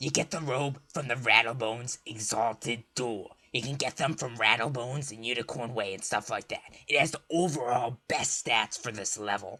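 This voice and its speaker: A man puts on a raspy character voice. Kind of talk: comic persona. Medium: solo performance. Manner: brash, joking, rambling.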